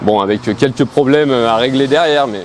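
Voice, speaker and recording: Medium pitch from a man at a moderate pace, with ordinary pitch variation over noticeable background noise. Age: 30s. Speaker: amateur muscle car driver, competition contestant. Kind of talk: casual interview. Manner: halting, many hesitations.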